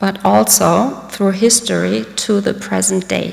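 A woman speaks in a German accent. Her pace is very slow. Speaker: diplomat. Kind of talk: speech. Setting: stage with audience. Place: hall. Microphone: podium.

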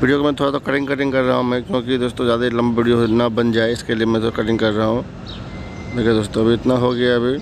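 With clear background noise behind him, a man speaks fast at medium pitch, with little pitch movement.

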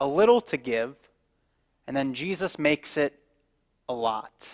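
A man's voice over a quiet background. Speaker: pastor giving children's message. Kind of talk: children's sermon. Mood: warm, gentle. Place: stage. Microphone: headset.

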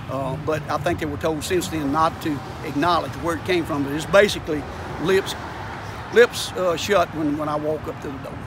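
Over noticeable background noise, a man with a fairly high pitch speaks at a moderate pace with ordinary pitch variation in a dry sound with no echo. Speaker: citizen activist. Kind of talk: interview. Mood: aggrieved, complaining. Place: street. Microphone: phone near.

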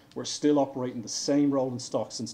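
With an Irish accent, a man speaks in a dark, mellow tone at a moderate pace, his intonation monotone and flat, over light background noise. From Ireland. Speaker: railway engineering director. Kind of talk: conference presentation. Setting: stage with audience. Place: hall.

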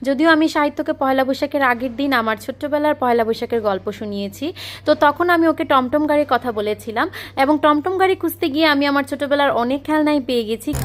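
A woman talks at a high pitch, and her pitch varies in an ordinary way. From Bangladesh, Chandpur. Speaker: lifestyle vlogger. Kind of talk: vlog narration.

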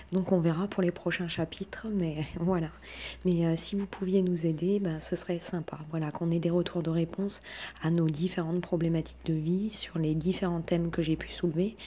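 A woman's fairly low-pitched, monotone, flat voice at a moderate pace, with noticeable background noise. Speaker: self-taught researcher and online video creator. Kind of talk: monologue, personal video talk. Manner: hesitant, many fillers; humble, earnest.

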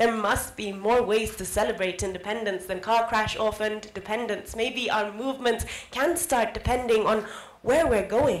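Here a woman is speaking with ordinary pitch variation. Audible room echo surrounds her voice. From Kenya. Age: young. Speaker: spoken word artist. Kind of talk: spoken word poetry performance. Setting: live event. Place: hall. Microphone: handheld.

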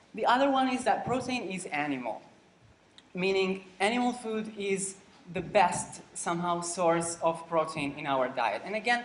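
Intonation is lively at a moderate pace. Audible room echo surrounds the voice. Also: man. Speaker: lecturer. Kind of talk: lecture. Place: hall. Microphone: camera far.

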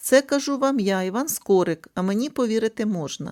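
On a very clean recording with a silent background, a female-sounding voice puts on a hoarse character voice, fairly high in pitch and at a fairly quick pace. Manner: expressive, richly modulated.

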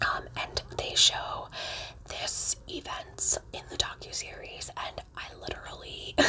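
A soft-spoken woman whispers at a very slow pace, her loudness swinging widely. Light background noise sits behind her. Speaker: storyteller. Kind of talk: casual vlog chat. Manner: soft close ASMR whisper. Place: home room. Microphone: phone near.

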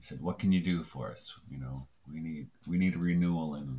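A man speaks at a moderate pace in a very deep, low voice with ordinary pitch variation. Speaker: video blogger on religion. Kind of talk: casual vlog chat. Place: home room. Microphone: webcam.

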